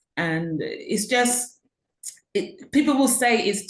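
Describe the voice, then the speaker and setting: With a British accent, a woman speaks in a somewhat breathy voice and lively intonation. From UK. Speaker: author and educational consultant. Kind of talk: interview. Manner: hesitant, many fillers.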